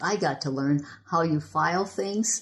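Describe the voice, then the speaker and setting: A woman's somewhat breathy, very deep, low-pitched voice with an American accent and lively intonation. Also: quiet background. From Michigan. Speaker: history preservation volunteer. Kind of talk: oral history interview answer.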